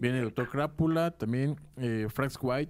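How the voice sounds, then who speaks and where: With an unremarkable speaking voice, a man talks at a moderate pace and medium pitch, using ordinary pitch variation. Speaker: radio podcast co-host. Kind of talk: casual interview.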